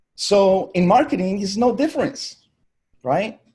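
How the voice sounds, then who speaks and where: A man's high-pitched, dark, mellow voice with a Spanish accent, very wide pitch swings and a fairly slow pace. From Colombia. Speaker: digital marketing agency owner. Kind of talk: virtual summit keynote talk.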